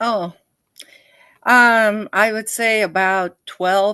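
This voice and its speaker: A woman speaks in a bright, sharp tone, the sound dry and close with no echo over a quiet background. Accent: Spanish. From Costa Rica, then California from age nine. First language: Spanish. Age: 70s. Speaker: retired language professor. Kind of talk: casual interview chat. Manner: hesitant, many fillers.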